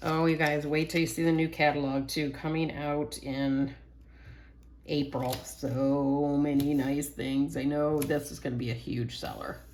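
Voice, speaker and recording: A woman speaks at a fairly slow pace with a very deep, low pitch and monotone, flat intonation. Audible room echo surrounds her voice. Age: 60s. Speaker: scrapbooking workshop instructor. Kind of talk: tutorial. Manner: casual, chatty.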